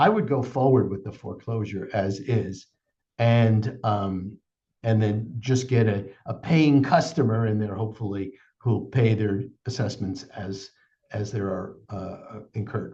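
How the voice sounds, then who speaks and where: A man speaks at a fairly slow pace in a fairly low pitch, with ordinary pitch variation. His voice is somewhat breathy, with a dark, mellow tone. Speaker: HOA attorney. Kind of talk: webinar presentation.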